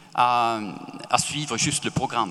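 A man speaks with a Swedish accent. His pace is fairly slow. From Sweden. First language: Swedish (speaking French). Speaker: author. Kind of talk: panel discussion.

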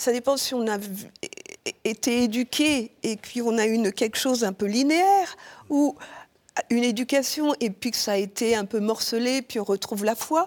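Speaking at a moderate pace, the woman has an unremarkable speaking voice pitched fairly high, with ordinary pitch variation. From Martinique. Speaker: consecrated virgin, church liturgy director. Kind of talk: interview.

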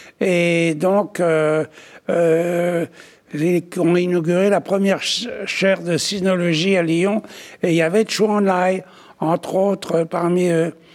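A man's high voice, very slow and monotone, flat in intonation, with very even loudness. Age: 80s+. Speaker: author and art dealer. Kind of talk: testimony. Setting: studio. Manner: halting.

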